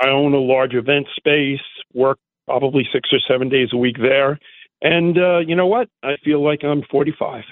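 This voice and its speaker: A man speaks at a fairly high pitch in a plain, everyday voice. His intonation is fairly even, and his loudness stays very even. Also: moderate pace. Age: 60s. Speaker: caller, event space owner. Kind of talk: phone-in call.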